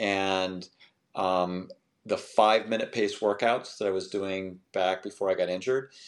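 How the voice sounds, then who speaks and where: In a very clean recording with a silent background, a man with an unremarkable speaking voice and an American accent speaks at a fairly low pitch and a fairly slow pace. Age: 60s. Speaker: masters runner. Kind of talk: interview.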